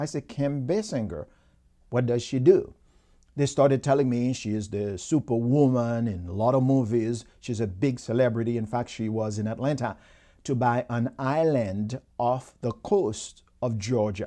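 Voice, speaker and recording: A dark, mellow tone comes at a moderate pace with ordinary pitch variation. The background is quiet. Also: man, medium pitch for a man. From Haiti. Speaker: motivational speaker. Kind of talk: motivational talk. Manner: animated.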